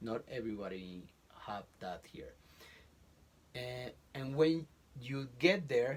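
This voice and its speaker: With a Colombian accent, a man at medium pitch talks at a very slow pace, leaving long, frequent pauses, his intonation lively and his loudness swinging widely. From Colombia, Bogotá. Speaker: college professor. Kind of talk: interview. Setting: closet in a home. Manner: halting.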